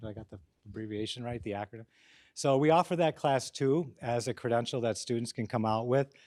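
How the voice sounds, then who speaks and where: At a very fast pace, a man speaks with medium pitch and ordinary pitch variation on a very clean recording with a silent background. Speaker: professor, program director. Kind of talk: speech to audience. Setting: auditorium with audience. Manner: loud.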